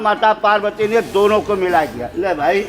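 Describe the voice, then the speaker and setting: Against music in the background and audible room echo, a man speaks in a high voice. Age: 70s. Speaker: wedding priest. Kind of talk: wedding ritual instruction.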